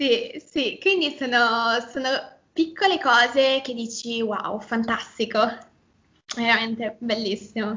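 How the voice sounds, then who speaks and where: In a Milanese accent, a woman speaks at a very slow pace with long, frequent pauses, a fairly high pitch and ordinary pitch variation. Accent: Milanese, open e vowels. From northern Italy, near Milan (Lombardy). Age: 20s. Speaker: Italian teacher. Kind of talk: casual interview.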